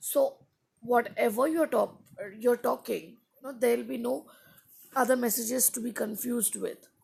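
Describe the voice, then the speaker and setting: Speaking at a moderate pace with an Indian accent, the voice has big swings in loudness and long, frequent pauses. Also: woman, high pitch for a woman, ordinary pitch variation. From India, Andhra Pradesh. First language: Hindi. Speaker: English teacher live-streaming. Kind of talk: live stream chat with viewers. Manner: casual, with fillers.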